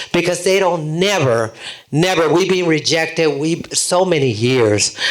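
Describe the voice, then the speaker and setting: Over noticeable background noise, a man with a fairly high pitch talks at a fairly slow pace. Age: 80s+. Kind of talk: audience question at panel. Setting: public panel event with audience. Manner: animated.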